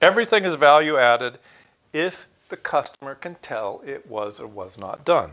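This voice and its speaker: Vocal fry and a bright, sharp tone mark a man whose fairly high pitch moves in very wide pitch swings. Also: moderate pace, big swings in loudness. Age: 60s. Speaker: university lecturer. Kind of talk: recorded online lecture.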